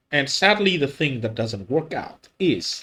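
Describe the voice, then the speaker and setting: A man is speaking. His pace is very slow. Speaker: gaming content creator. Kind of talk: casual gameplay commentary. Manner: hesitant, many filler words.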